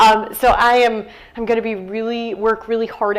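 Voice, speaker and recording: A woman with an American accent speaks at a fairly high pitch, with noticeable background noise and audible room echo. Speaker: nurse educator and author. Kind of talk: author talk. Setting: stage with audience.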